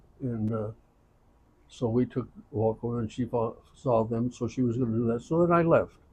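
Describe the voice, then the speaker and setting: Somewhat breathy, a man speaks at a medium pitch and a moderate pace. His intonation is fairly even. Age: 80s+. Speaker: elderly storyteller. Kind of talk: casual chat. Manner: halting.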